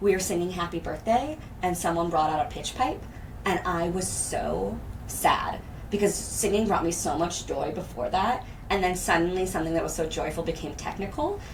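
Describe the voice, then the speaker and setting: Noticeable background noise and audible room echo surround this woman's voice. Her pitch varies in an ordinary way. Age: 30s. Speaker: podcast co-host, drama therapist. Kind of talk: casual chat.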